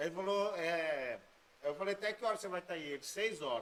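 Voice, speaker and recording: A man's high-pitched voice, with ordinary pitch variation, moves at a moderate pace. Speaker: podcast host. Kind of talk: casual chat.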